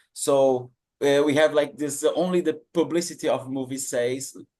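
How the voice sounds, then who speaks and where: At a fairly slow pace, a man speaks with a non-native accent. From Brazil. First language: Portuguese. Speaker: PhD researcher, audience participant. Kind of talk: question-and-answer comment. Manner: halting.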